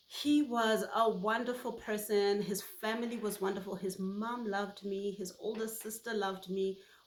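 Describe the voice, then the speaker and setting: The voice carries a Botswana accent and moves at a fairly slow pace. Its intonation is monotone and flat. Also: woman. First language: Setswana. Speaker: YouTuber. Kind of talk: personal vlog monologue.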